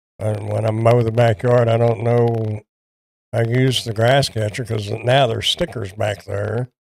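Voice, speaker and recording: The speaker has a Texan accent and a fairly slow pace. Intonation stays fairly even. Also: man, medium pitch for a man. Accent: Texan Southern US. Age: 60s. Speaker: product reviewer. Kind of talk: casual livestream chat. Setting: livestream from home. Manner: halting.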